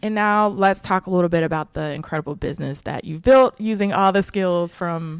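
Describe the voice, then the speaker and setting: A normal speaking voice at a fairly quick pace, with hardly any pauses and ordinary pitch variation. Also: woman, medium pitch for a woman. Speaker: podcast host, publicist. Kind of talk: podcast interview, casual.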